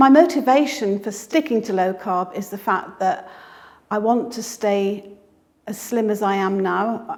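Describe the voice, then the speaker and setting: With a British accent, a woman speaks fairly slowly at a fairly high pitch, her pitch varying in an ordinary way. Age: 60s. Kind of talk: interview answer.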